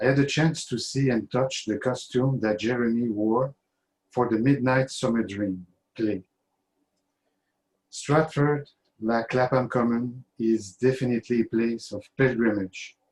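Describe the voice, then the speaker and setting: At a fairly slow pace with long, frequent pauses, a man with a French accent speaks at a medium pitch and fairly even intonation. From Quebec, Canada. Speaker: fan giving a toast. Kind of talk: toast speech. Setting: video call.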